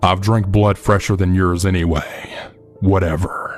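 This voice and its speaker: Faint music plays in the background as a man puts on a growling character voice. His pitch is very deep and low, and his pace is moderate. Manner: sullen, sarcastic.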